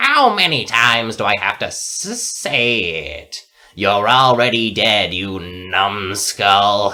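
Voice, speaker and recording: A man speaks very slowly in a put-on character voice. His pitch sits fairly low. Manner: yelling, exasperated.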